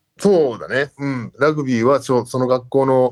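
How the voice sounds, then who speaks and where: A man speaks at a medium pitch in a dry, close sound with no echo. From Japan (grew up in Japan from age 3, teens in Canada). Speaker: rugby assistant coach. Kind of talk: interview.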